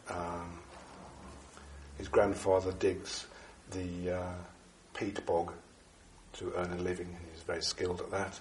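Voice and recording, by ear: Speech comes at a slow pace in a monotone, flat intonation, with long, frequent pauses and audible room echo. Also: man, low pitch for a man.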